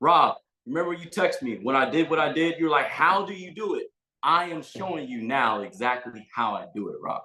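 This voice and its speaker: Animated and fairly high-pitched, a man speaks at a moderate pace in a bright, sharp tone with lively intonation, vocal fry and big swings in loudness. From US. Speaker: sales coach. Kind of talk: Q&A coaching call. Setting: video call.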